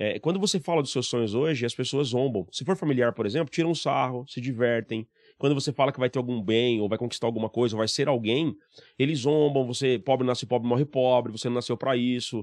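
Speaking at a very fast pace, a man uses ordinary pitch variation, recorded dry with no echo against a quiet background. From Brazil, Mauá, Greater São Paulo; São Paulo, Brazil. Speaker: sales trainer; podcast guest, sales trainer. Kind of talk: interview. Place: studio. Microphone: studio mic.

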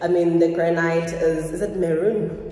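Audible room echo surrounds a woman's voice. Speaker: vlogger. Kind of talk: casual vlog chat. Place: kitchen. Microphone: phone near.

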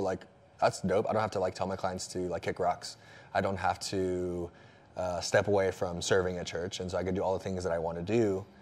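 Here is a man talking. His pitch is very deep and low. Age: 20s. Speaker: personal trainer and church youth leader; personal trainer. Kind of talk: casual interview chat. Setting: studio. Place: home room. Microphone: lapel.

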